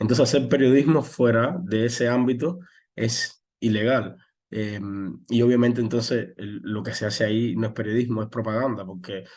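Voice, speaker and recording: This is a man with medium pitch. His pitch variation is ordinary. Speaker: journalist. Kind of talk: interview. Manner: fast; halting.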